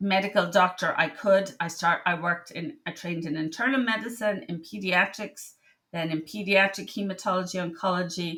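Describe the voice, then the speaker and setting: Here a woman speaks in an Irish accent at a fairly quick pace. Her pitch is medium and her tone bright and sharp. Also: ordinary pitch variation. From Ireland. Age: 60s. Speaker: medical doctor. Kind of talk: casual monologue. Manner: halting.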